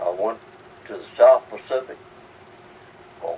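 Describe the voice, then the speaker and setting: Over noticeable background noise, a man with an American accent speaks at a moderate pace and a medium pitch. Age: 80s+. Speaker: WWII Navy veteran. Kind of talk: interview answer.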